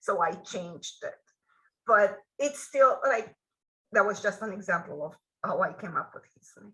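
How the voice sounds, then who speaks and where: With a Romanian accent, a woman speaks at a moderate pace in a medium pitch, her bright, sharp tone carrying lively intonation, big swings in loudness and long, frequent pauses. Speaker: author. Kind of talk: interview.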